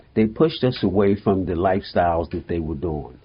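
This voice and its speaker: A man talks at a fairly quick pace in an American accent, his voice somewhat breathy. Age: 70s. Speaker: mental health therapist. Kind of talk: interview.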